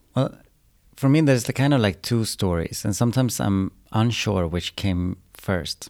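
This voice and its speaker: A man's fairly low voice at a moderate pace on a very clean recording with a silent background. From Sweden, Umeå. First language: Swedish. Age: 30s. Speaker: choreographer. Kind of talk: interview.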